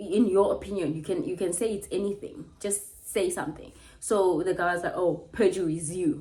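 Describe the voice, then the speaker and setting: Audible room echo surrounds the recording. A woman speaks at a moderate pace. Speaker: YouTube commentator. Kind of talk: casual reaction vlog. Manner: animated.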